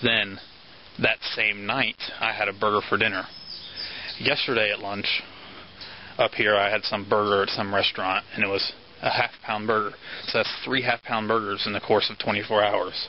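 A man's monotone, flat voice over noticeable background noise. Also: moderate pace. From Florida. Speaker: vlogger. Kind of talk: casual vlog. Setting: outdoors, handheld camera.

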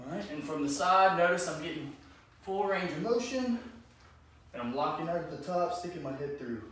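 Over noticeable background noise and audible room echo, a man with a high pitch speaks at a moderate pace. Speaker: fitness coach. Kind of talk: tutorial. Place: garage.

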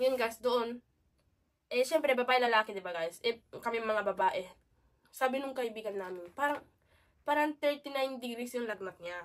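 The pace from this woman is moderate. Her high-pitched voice shows ordinary pitch variation. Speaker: vlogger. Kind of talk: casual vlog storytelling. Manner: halting.

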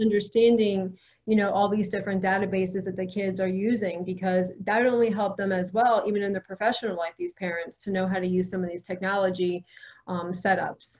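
Against a quiet background, a woman with an American accent talks at a fairly quick pace, somewhat breathy and monotone, with flat intonation. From US South. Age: 40s. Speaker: real estate professional and educator. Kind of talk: interview. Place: office. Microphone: video call.

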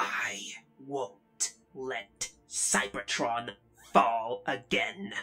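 A put-on character voice with a low pitch. It moves along at a very slow pace. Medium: dub. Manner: defensive, agitated then earnest.

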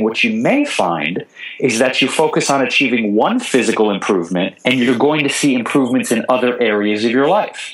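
With ordinary pitch variation, a man talks at a moderate pace in a mid-range pitch. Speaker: vegan chef and TV host. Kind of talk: interview answer. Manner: passionate, comedic delivery.

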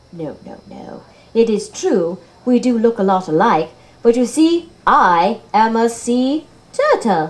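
Fairly slow delivery in a cartoonish character voice. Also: female-sounding voice, fairly high pitch for a woman. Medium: puppet. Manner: gentle, patient, motherly.

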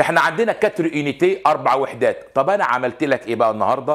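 A man at a fairly quick pace, lively intonation, against a quiet background. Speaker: French teacher. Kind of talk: lecture. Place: studio.

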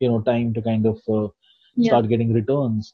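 A man at a moderate pace, monotone and flat, in a dry sound with no echo over a quiet background. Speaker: guest. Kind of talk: interview answer. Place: home room. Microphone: video call.

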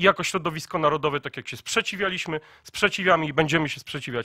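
A man at a very fast pace, fairly high in pitch with ordinary variation, bright and sharp in tone, in a dry sound with no echo and a quiet background. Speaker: youth organization press spokesman. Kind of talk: press conference statement. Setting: press conference. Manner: formal, emphatic. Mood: firm, defiant. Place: meeting room. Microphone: podium.

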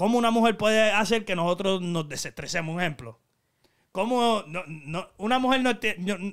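With a Puerto Rican accent, the speaker uses ordinary pitch variation on a very clean recording with a silent background. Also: man. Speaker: YouTube channel host. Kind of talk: casual chat. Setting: studio. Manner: talkative.

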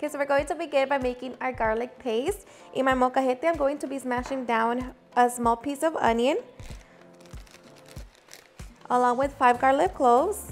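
A high-pitched woman at a moderate pace, with ordinary pitch variation, long, frequent pauses and faint music in the background. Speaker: home cooking channel host. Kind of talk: tutorial. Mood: warm, upbeat. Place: kitchen. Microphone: lapel.

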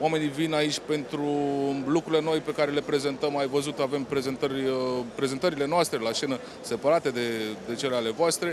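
A man is speaking. The sound is dry with no echo, and there is noticeable background noise. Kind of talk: interview answer. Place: hall. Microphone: handheld.

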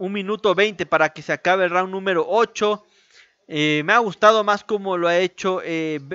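This man has a high-pitched voice. His pace is fairly slow. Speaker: boxing commentator. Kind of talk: live boxing commentary, blow-by-blow narration of a fight. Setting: home-style stream narrating a fight broadcast. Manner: informal and chatty, speaking directly to viewers. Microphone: studio mic.

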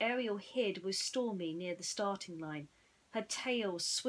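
The speaker uses an unforced reading voice. It comes across as an unforced reading voice throughout.

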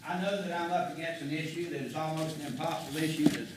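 A man speaks very fast at a fairly high pitch with fairly even intonation, amid noticeable background noise and audible room echo. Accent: South Carolina. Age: 70s. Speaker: citizen addressing county council. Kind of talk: public comment speech. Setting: county council meeting.

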